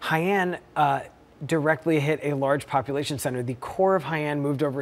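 With an American accent, a man speaks in an ordinary speaking voice. His pitch is fairly high and his pace moderate. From US Northeast, Long Island; New York. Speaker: hurricane chaser; guest. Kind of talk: TV interview. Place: studio.

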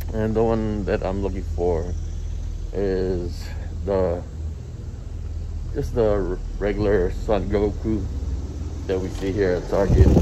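A man speaks at a very slow pace with long, frequent pauses while noticeable background noise runs behind him. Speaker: toy hunting vlogger. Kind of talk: casual vlog chat. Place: street. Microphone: phone near.

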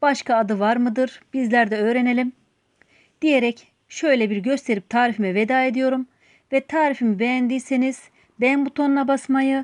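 Against a quiet background, a woman speaks in a high voice with a dry, close sound and no echo. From Turkey, outside Istanbul. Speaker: cooking channel host. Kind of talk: cooking tutorial. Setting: home kitchen.

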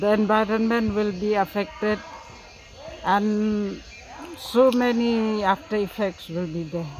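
With light background noise and a dry sound free of echo, a man speaks fairly slowly in a high pitch with ordinary pitch variation. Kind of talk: interview answer. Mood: sad, concerned. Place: street.

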